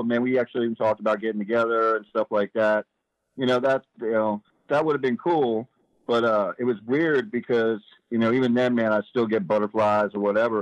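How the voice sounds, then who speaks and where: A man with an ordinary speaking voice, medium pitch, and fairly even intonation at a fairly quick pace, in a dry, close sound with no echo. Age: 40s. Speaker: prison inmate. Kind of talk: interview.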